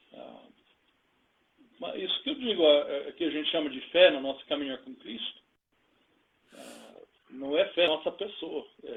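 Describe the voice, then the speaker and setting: A man speaking at a fairly slow pace. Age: 60s. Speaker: pastor. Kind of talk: interview testimony. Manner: halting.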